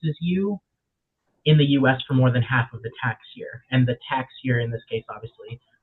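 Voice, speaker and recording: A man at a fairly quick pace with a medium pitch. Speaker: legal workshop presenter. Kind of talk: webinar presentation. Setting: online webinar. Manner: fast.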